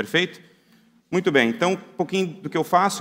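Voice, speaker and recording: A man with a Brazilian accent. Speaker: security researcher, conference speaker. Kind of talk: conference talk. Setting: conference hall with audience. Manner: casual, conversational.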